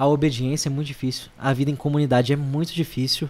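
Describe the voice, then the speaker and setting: Against a silent background in a very clean recording, a man speaks very fast in a monotone, flat intonation. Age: 20s. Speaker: seminarian. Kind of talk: casual interview.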